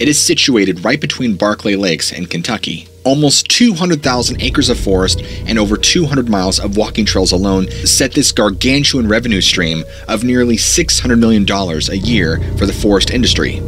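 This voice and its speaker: Music plays behind a man speaking at a fairly low pitch and a moderate pace. His intonation is lively, with hardly any pauses. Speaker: horror storyteller youtuber. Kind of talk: narrated storytelling. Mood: dark, suspenseful. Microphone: studio mic.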